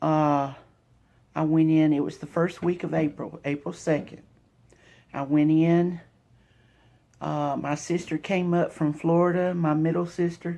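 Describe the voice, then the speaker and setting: A woman's very deep, low voice with a Southern US accent, dark and mellow in tone, monotone and flat, at a fairly slow pace with long, frequent pauses. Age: 50s. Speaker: vlogger sharing cancer journey. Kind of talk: personal testimony vlog. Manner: halting, with fillers. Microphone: phone mic.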